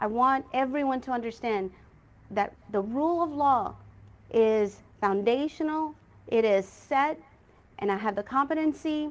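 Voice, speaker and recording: A woman's high-pitched voice with lively intonation, a moderate pace and long, frequent pauses. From India, raised in Texas. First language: Malayalam. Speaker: lawyer and judicial candidate. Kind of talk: campaign speech at candidate forum. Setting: candidate forum, simulcast online. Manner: earnest, formal.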